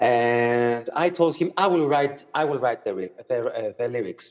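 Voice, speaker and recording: With noticeable background noise, a man speaks in a Greek accent. His pitch is fairly high, and he talks at a fairly slow pace. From Greece. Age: 30s. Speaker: singer-songwriter. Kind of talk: interview. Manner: halting, many fillers and repeats.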